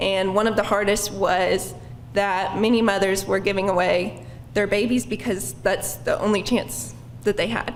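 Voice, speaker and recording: Amid noticeable background noise and audible room echo, a woman with an American accent speaks with ordinary pitch variation. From Oklahoma, Stilwell. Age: 20s. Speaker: bike ride participant. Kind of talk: personal testimony at a public lecture.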